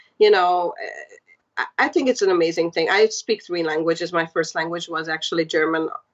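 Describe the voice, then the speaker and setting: Speaking at a fairly quick pace, a woman with a Hungarian accent has a fairly low pitch and ordinary pitch variation. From Hungary. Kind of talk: podcast interview.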